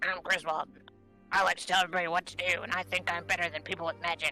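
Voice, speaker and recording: Delivered at a very fast pace, a put-on character voice comes through over clear music in the background. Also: man, high pitch for a man. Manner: condescending.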